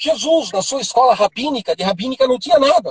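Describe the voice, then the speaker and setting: This man's pitch is extremely high, and his intonation is lively at a fairly quick pace. The sound is dry and close, with no echo. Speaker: apostle, preacher. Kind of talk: teaching on a live stream. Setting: Instagram live.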